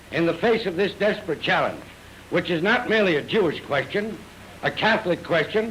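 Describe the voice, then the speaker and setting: A fairly quick pace in an American accent, with ordinary pitch variation and noticeable background noise. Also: man. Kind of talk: 1938 newsreel statement to camera.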